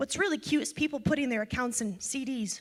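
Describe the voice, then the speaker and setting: A woman with a high pitch speaks at a fairly quick pace in an animated tone with lively intonation. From Ukraine. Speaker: financial educator, speaker. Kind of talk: seminar talk. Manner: fast.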